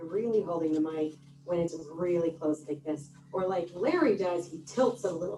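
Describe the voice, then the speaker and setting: Over noticeable background noise, a woman speaks with ordinary pitch variation and big swings in loudness. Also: fairly low pitch for a woman, moderate pace. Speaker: meeting timer. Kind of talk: meeting report. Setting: hybrid club meeting with microphone and Zoom.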